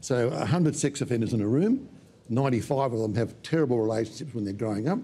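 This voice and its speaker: A man with an Australian accent, a dark, mellow, somewhat breathy tone, lively intonation and a very fast pace, over light background noise. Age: 70s. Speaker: psychologist and minister. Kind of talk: panel interview. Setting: studio. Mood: calm, serious explanatory. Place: studio.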